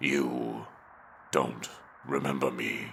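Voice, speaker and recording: A man growls in a put-on character voice with very deep, low pitch and monotone, flat intonation. Clear background noise runs underneath. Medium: audio drama. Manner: calm, brooding.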